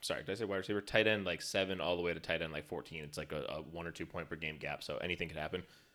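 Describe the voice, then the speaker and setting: Very fast delivery with fairly even intonation and a bright, sharp tone, on a very clean recording with a silent background. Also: man. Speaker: fantasy football podcast host. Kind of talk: casual banter about fantasy football.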